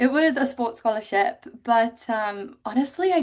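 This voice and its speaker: With a quiet background behind her, a woman speaks at a moderate pace in a fairly high pitch. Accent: English. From England, Cotswolds. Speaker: ocean rower. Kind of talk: interview. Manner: animated.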